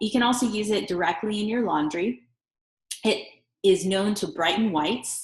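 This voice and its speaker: At a fairly slow pace, this woman uses a normal speaking voice with ordinary pitch variation. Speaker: essential oils seller. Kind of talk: product tutorial.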